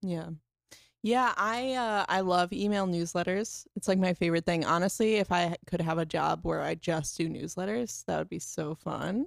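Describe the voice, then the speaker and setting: A woman with an American accent speaks in a normal speaking voice, fairly low in pitch, with ordinary pitch variation. Her pace is moderate, and the sound is dry and close with no echo. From Florida, Melbourne. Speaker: podcast co-host. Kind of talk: casual chat and interview. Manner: laughs often.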